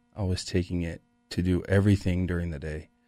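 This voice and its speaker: A man with an American accent speaks in a very deep, low, monotone voice with flat intonation, the sound dry with no echo and faint music in the background. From Utah, Salt Lake area; Utah. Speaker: former pro football player, recovery coach; radio guest. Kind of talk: personal testimony in radio interview. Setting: radio studio. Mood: reflective, candid about struggles. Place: studio. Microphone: studio mic.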